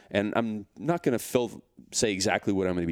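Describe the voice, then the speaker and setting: Recorded very cleanly with a silent background, a man speaks with a Canadian accent. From Canada. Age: 40s. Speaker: fitness entrepreneur and author. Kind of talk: casual interview chat.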